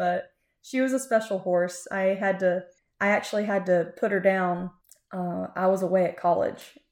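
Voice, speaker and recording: In a very clean recording with a silent background, a woman with a Florida accent speaks at a medium pitch with fairly even intonation. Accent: US Southern (Florida ranch country). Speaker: podcast co-host, cattle industry worker. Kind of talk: casual interview, telling her life story.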